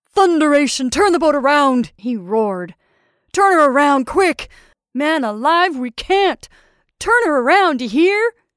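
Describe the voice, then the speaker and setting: In a put-on character voice, a woman bellows in a raised, projected voice at a high pitch with very wide pitch swings and a moderate pace, captured in a very clean recording with a silent background. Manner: roaring, furious.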